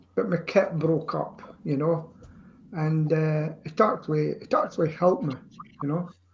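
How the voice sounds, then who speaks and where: A man with a Scottish accent speaks at a fairly high pitch, with ordinary pitch variation. He leaves long, frequent pauses. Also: moderate pace. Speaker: amateur singer. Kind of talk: casual chat.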